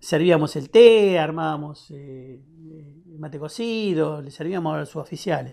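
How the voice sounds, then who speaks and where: The background is quiet as a man speaks at a moderate pace. His pitch variation is ordinary. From Buenos Aires, Argentina (Lomas de Zamora, Temperley); Buenos Aires, Argentina. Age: 60s. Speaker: war veteran. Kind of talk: testimony. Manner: halting. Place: studio.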